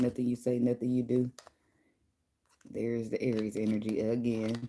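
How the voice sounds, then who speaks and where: A woman speaks quietly in a very deep, low pitch with a dark, mellow tone. Her intonation is monotone and flat. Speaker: tarot reader. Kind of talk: tarot reading livestream. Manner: quiet, speaking low; casual, conversational.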